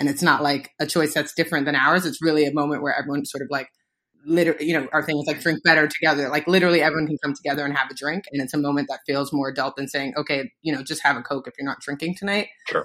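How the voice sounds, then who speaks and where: Someone talks at a very fast pace with a New York accent. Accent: New York, urban American. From the Bronx, New York. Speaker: cocktail mixer co-founder, branding. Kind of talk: interview conversation.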